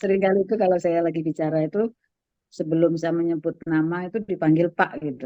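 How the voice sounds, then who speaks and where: A woman at a very fast pace, fairly low in pitch, with fairly even intonation. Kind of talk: conversational.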